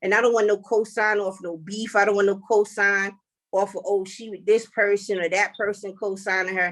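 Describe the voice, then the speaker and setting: With a New York accent, a woman talks at a moderate pace and medium pitch. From Brooklyn, New York. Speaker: rapper. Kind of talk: casual interview. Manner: animated.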